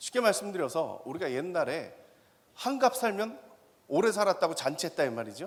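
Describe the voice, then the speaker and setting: The tone is animated. Pitch swings very widely. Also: man, high pitch for a man. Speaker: professor. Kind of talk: lecture. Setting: stage with audience. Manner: fast.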